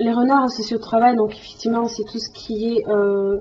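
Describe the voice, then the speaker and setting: Somewhat breathy and fairly high, a woman's voice moves at a moderate pace with monotone, flat intonation. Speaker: tarot reader. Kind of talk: tarot reading monologue. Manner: hesitant, many fillers.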